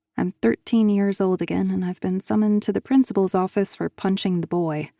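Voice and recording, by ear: A natural voice reading aloud.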